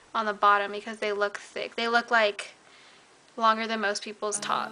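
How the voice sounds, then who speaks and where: Over noticeable background noise, a woman speaks with fairly high pitch. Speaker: beauty vlogger. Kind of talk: makeup tutorial. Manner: fast; casual, filler-heavy.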